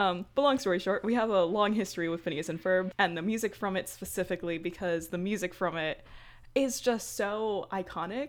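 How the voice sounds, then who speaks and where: With an American accent, a woman talks at a fairly quick pace in an ordinary speaking voice of medium pitch, with ordinary pitch variation and a quiet background. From Brooklyn, New York. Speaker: podcast co-host. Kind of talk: casual chat.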